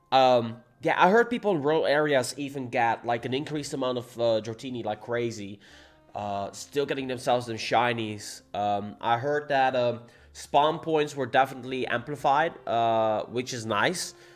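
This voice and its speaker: A man with a Dutch accent speaks at a moderate pace and medium pitch, with ordinary pitch variation. Music plays in the background. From Netherlands. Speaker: gaming streamer. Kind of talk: livestream chat. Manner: casual, animated.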